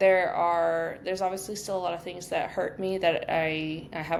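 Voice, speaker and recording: With audible room echo around her, a woman speaks at a moderate pace, with a fairly low pitch and fairly even intonation. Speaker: podcast co-host. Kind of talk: casual chat. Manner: monotone; subdued, low energy.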